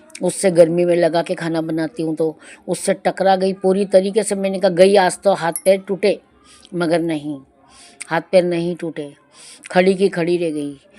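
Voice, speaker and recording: Noticeable background noise surrounds this woman's voice. She talks at a fairly low pitch in a monotone, flat intonation. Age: 60s. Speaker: devotional satsang narrator. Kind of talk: devotional testimony. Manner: conversational.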